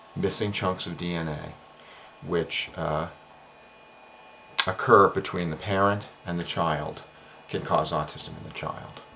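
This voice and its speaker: Soft-spoken and very deep in pitch, a man talks with fairly even intonation, big swings in loudness and long, frequent pauses over noticeable background noise. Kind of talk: explainer monologue. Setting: home office at night. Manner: hesitant fillers.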